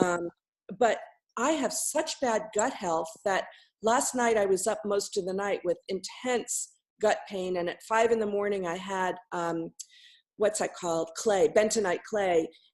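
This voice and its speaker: In a quiet background, a woman with an unremarkable speaking voice talks at a medium pitch and a fairly slow pace, with ordinary pitch variation. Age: 60s. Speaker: coaching call participant. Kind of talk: coaching call.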